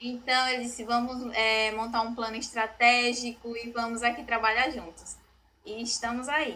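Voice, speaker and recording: A woman's high-pitched, bright, sharp voice in a flat monotone at a moderate pace. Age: 20s. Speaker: real estate office strategy manager. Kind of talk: podcast interview.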